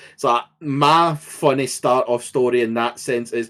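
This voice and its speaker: A man speaks with a Scottish accent. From Scotland. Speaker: podcast co-host. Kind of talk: casual chat.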